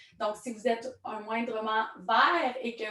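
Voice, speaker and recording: A woman with a strong Quebec accent speaks at a very slow pace in a fairly high pitch, with noticeable background noise behind her. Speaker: network marketing trainer. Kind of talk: online training presentation.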